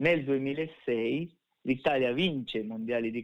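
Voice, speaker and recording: A man speaks at a medium pitch with ordinary pitch variation. It is a plain, everyday voice. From Sardinia, province of Nuoro. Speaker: navy veteran and competitive skydiver. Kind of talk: interview.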